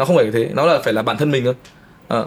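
This man's speech shows ordinary pitch variation. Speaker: film and music video director. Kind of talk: casual chat.

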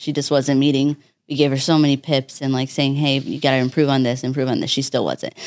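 A woman's very deep, low voice, flat and monotone, at a very fast pace. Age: 20s. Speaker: business executive and former nurse. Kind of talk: podcast interview.

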